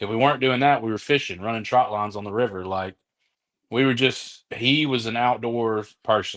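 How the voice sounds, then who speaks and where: Against a quiet background, a man with an Alabama accent speaks with fairly even intonation. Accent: US Southern, Alabama. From Mobile, Alabama. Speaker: comedian. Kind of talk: casual chat.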